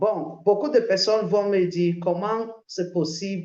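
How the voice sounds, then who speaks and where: A woman talks at a very slow pace with an English accent. Her tone is dark and mellow. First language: English (speaking French). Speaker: crypto promoter. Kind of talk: sales pitch. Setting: video call. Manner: halting, many hesitations.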